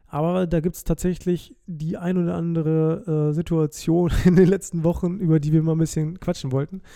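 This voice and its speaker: A man's high-pitched voice, dark and mellow in tone, with monotone, flat intonation. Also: moderate pace, hardly any pauses. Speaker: podcast host. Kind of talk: casual monologue.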